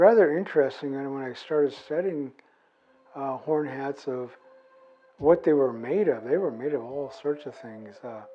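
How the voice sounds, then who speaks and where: A man's fairly high voice with ordinary pitch variation, a relaxed tone, a moderate pace and big swings in loudness, over music in the background. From US Pacific Northwest, Nez Perce. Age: 60s. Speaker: artist and former park ranger. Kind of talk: interview testimony. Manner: relaxed, with frequent fillers.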